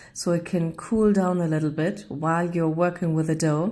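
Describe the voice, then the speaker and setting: A woman's fairly low, dark, mellow voice in a German accent. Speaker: home baker vlogger. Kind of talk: cooking tutorial. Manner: halting.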